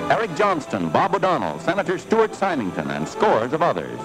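The voice moves at a moderate pace. Clear music plays in the background. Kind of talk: newsreel narration. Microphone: old recording.

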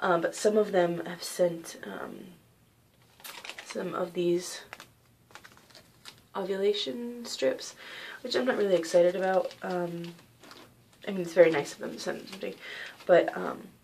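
The speech is quiet and fairly slow, with long, frequent pauses and big swings in loudness. Pitch varies in an ordinary way over light background noise. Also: woman. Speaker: vlogger sharing personal story. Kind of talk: personal vlog, testimony. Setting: at home. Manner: quiet, hushed; hesitant, many fillers. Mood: calm, somewhat subdued. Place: home room. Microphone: webcam.

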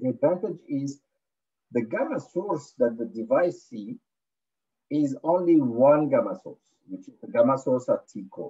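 At a fairly slow pace, a man with a medium pitch speaks in a dark, mellow tone with a slightly husky edge and lively intonation.

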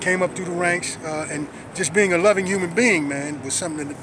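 A man talks very fast with an American accent at a high pitch and fairly even intonation, the sound dry with no echo and noticeable background noise behind him. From South Los Angeles; Los Angeles. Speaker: former prisoner, community activist. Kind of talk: interview testimony. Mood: earnest, reflective. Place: street. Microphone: phone near.

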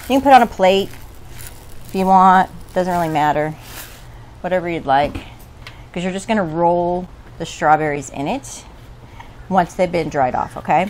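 A woman speaks at a moderate pace and a fairly low pitch, with ordinary pitch variation. Long, frequent pauses break up her speech over light background noise. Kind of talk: cooking tutorial. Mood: relaxed, casual. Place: garden. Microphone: lapel.

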